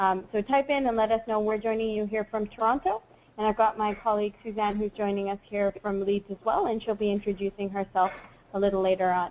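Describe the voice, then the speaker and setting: Over noticeable background noise, a woman at a medium pitch talks at a fairly quick pace with monotone, flat intonation. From Saudi Arabia, Bangladeshi family, UK schooling. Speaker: webinar host, education advisor. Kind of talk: webinar presentation. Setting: online webinar.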